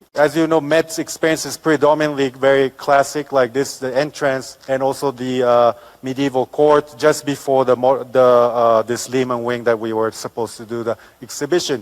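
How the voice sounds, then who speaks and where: Against noticeable background noise, a man speaks at a moderate pace and medium pitch with fairly even intonation. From Japan. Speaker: architect. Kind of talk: lecture. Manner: halting, many fillers.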